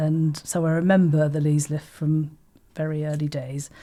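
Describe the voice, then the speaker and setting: A woman with a southern English accent speaks at a fairly slow pace, her very deep, low pitch and dark, mellow tone captured on a very clean recording with a silent background. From Folkestone, Kent, England. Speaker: artistic director. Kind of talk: oral history interview answer.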